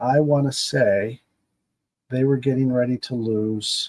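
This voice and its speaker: With ordinary pitch variation, a man speaks in a dry, close sound with no echo. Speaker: sim baseball game streamer. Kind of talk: casual livestream monologue. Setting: home basement. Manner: halting, stumbling.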